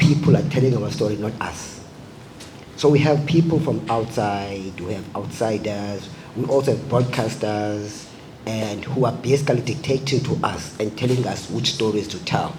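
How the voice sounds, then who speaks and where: A man at medium pitch and a moderate pace, ordinary pitch variation, noticeable background noise and audible room echo. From South Africa. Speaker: filmmaker. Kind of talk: panel discussion.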